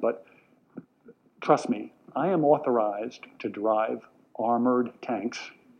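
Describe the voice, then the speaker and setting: An American accent with ordinary pitch variation. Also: man. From New York, Long Island. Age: 60s. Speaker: educator and speaker. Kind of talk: talk to a live audience. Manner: animated.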